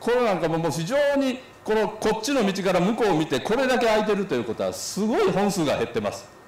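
The speech comes at a very fast pace with hardly any pauses and lively intonation. Audible room echo surrounds it. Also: man, high pitch for a man. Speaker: association representative giving a talk. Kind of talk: symposium talk with slides. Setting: symposium hall with audience. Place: hall. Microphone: podium.

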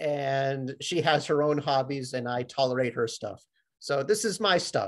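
This is a man talking at a moderate pace. The background is quiet. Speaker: sheet metal worker; presenter. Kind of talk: webinar presentation. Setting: video call. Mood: proud, friendly. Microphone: webcam.

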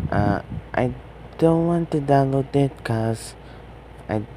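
This man's pitch moves in an ordinary way as he talks at a very slow pace. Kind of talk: casual talk to camera. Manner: hesitant.

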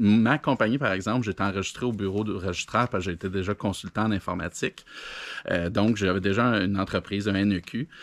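In a Quebec accent, a man with a fairly low pitch talks at a fairly quick pace with fairly even intonation, in a dry sound with no echo. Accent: Québécois French. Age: 40s. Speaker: entrepreneur, video blogger; video blogger. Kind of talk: casual monologue. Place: garden. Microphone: phone near.

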